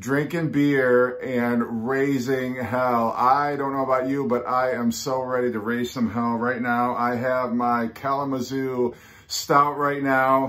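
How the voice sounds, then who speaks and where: Against a quiet background, a man speaks at a very slow pace in a monotone, flat intonation. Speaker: record collector vlogger. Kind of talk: casual vlog chat. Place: home room. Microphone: phone near.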